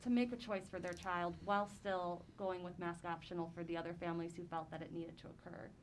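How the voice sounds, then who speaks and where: A woman with an American accent and a fairly low voice speaks with hardly any pauses, and room echo is audible. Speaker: school board member. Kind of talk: public board meeting discussion. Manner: hesitant, filler-heavy.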